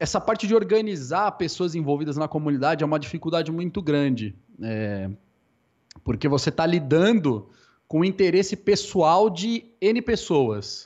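A man talks at a moderate pace with a fairly high pitch. His pitch swings very widely, and the background is quiet. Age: 20s. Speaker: esports caster. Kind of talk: casual interview.

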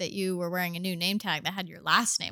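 A woman speaks at medium pitch with a Midwestern accent and a bright, sharp tone. The recording is very clean, with a silent background. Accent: general American, Midwestern. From US Midwest, Indianapolis. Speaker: podcast co-host. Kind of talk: casual chat. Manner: laughs often.

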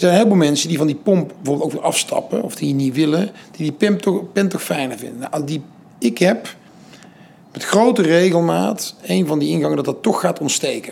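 Over noticeable background noise, a man talks at a fairly quick pace, his fairly high voice carrying lively intonation. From Netherlands, Den Bosch. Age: 40s. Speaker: entrepreneur and foundation founder. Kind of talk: interview. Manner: halting.

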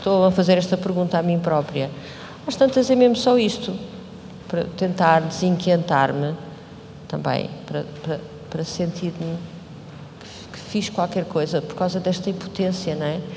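Over noticeable background noise and audible room echo, a woman speaks fairly slowly in a fairly low voice with ordinary pitch variation. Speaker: choreographer. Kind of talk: post-show talk.

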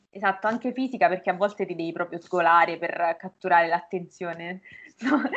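A woman talks at a moderate pace in an ordinary speaking voice, her pitch medium with ordinary variation. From Umbria, Norcia (province of Perugia). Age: 20s. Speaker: language teacher and university student. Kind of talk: casual interview chat.

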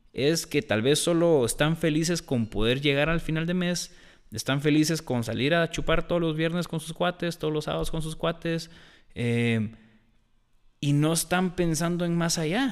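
On a very clean recording with a silent background, a man with a plain, everyday voice speaks at a moderate pace, his fairly high pitch showing ordinary variation. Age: 20s. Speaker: podcast co-host. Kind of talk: casual chat.

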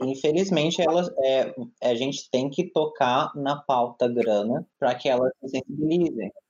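In a plain, everyday voice, a man speaks at a fairly slow pace, his fairly high pitch showing ordinary variation. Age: 20s. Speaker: architect and LGBT rights advocate. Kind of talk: casual chat. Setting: video call.

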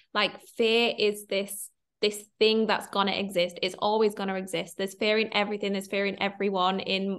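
This woman speaks in a Mancunian accent at a medium pitch. Her intonation is monotone and flat. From Manchester, northern England. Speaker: content creator and confidence coach. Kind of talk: casual interview chat. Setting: online call.

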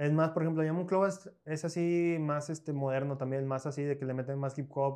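Against a quiet background, a man speaks in a dark, mellow tone at a fairly quick pace with fairly even intonation. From northern Mexico, Coahuila (Piedras Negras). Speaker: choreographer and dance teacher. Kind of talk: casual interview.

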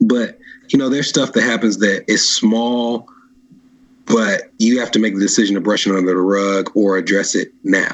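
A man with an American accent talks at a moderate pace in a medium pitch, using fairly even intonation. It is an ordinary speaking voice. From Nashville, Tennessee, US South. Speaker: podcast guest. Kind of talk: casual chat.

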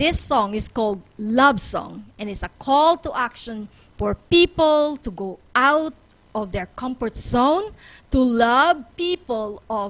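Speaking very slowly, a woman uses a fairly high pitch, and her loudness swings widely. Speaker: radio talk show host. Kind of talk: radio talk show.

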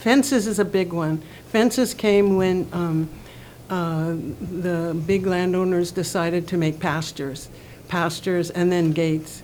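A plain, everyday voice, a woman's, talks at a fairly slow pace, fairly low in pitch with ordinary pitch variation. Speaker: community member. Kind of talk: panel discussion, casual.

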